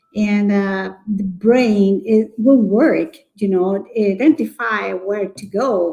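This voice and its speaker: Very slowly, a woman speaks in a strong Chilean accent with a dark, mellow tone that is somewhat breathy. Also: hardly any pauses, big swings in loudness. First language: Spanish. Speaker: early childhood educator. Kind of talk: live webinar discussion. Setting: Facebook live broadcast. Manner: halting.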